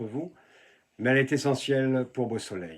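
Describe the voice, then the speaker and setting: An ordinary speaking voice from a man, medium-pitched, with ordinary pitch variation and a moderate pace. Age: 60s. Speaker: local election candidate. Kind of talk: political campaign address.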